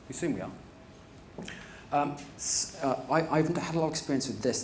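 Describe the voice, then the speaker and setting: A man talking at a very fast pace amid noticeable background noise and audible room echo. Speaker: privacy and data protection manager. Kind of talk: conference talk.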